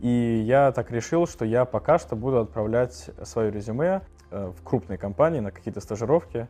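At a moderate pace, a man with a dark, mellow tone talks at medium pitch, his pitch swinging very widely. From Moscow, Russia. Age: 20s. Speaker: university student, designer. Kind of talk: recorded testimonial.

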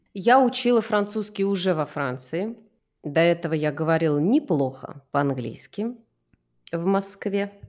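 Her fairly low pitch swings very widely as a woman speaks at a fairly slow pace. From Moscow, Russia. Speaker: actress and voice/speech teacher. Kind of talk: casual chat, podcast interview.

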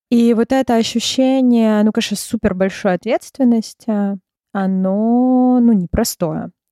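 Fairly slow and very even in loudness, a woman with a fairly high pitch and a normal speaking voice uses fairly even intonation in a dry, close sound with no echo. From Russia, Moscow. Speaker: clinical psychologist. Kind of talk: interview.

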